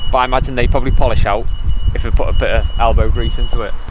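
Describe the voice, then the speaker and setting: A man's voice comes through as a dry sound with no echo over loud background noise. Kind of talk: casual review chat. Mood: relaxed, wry. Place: street.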